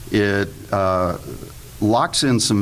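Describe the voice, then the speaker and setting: A man speaks with a fairly low pitch and fairly even intonation. Audible room echo and noticeable background noise are present. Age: 60s. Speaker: panelist, investment fund manager. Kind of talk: panel presentation to live audience. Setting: room with live audience. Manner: humorous, conversational.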